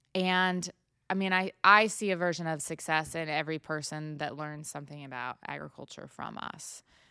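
On a very clean recording with a silent background, a woman with an American accent speaks at a moderate pace in a very deep, low pitch, her tone bright and sharp, her intonation fairly even and her loudness swinging widely. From Washington State, small town. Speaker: cattle farmer. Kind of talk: casual chat. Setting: recorded on a laptop.

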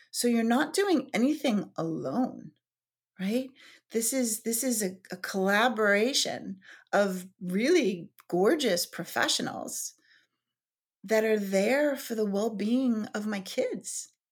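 A woman speaks very slowly in a fairly high, somewhat breathy voice with lively intonation. The recording is very clean, with a silent background. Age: 40s. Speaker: yoga teacher. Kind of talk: casual chat. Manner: halting.

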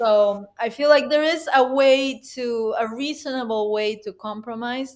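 A woman with a Spanish accent, fairly high-pitched, with ordinary pitch variation and a fairly slow pace. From Peru, Huánuco. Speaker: concert pianist and educator. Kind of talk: interview.

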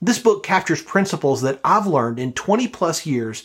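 A man with an American accent has a plain, everyday voice at a fairly high pitch. He goes at a moderate pace on a very clean recording with a silent background. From US South, Birmingham, Alabama. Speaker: podcast host and leadership coach. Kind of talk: interview; scripted outro.

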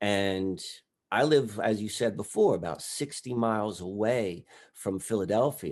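Against a quiet background, a man speaks at a fairly slow pace. His voice is fairly low, with ordinary pitch variation. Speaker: guest researcher of mystic history. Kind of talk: casual discussion. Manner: animated, enthusiastic.

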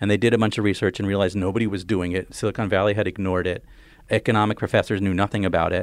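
Very fast speech from a man with a fairly low pitch and an American accent. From New Jersey. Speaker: author. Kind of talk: casual interview. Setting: studio.

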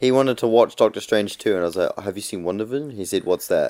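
A man speaks with a New Zealand accent. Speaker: podcast co-host. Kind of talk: casual chat.

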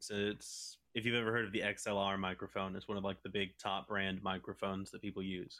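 An ordinary speaking voice, a man's, fairly low in pitch, at a moderate pace. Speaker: voice actor. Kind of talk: casual chat.

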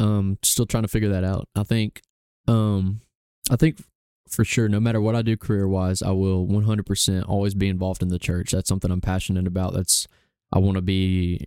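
In an Alabama accent, a man with a very deep, low pitch and a dark, mellow tone talks at a fairly quick pace with monotone, flat intonation, in a dry, close sound with no echo. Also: very clean recording, silent background. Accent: Southern US (Alabama). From US South, Gadsden, Alabama. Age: young. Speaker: barista and photographer. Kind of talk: casual interview.

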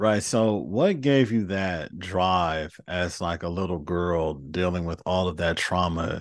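Before a quiet background, a man with an American accent speaks very slowly with hardly any pauses, in a very deep, low pitch with ordinary pitch variation. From Los Angeles, US. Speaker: podcast host. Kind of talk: interview conversation.

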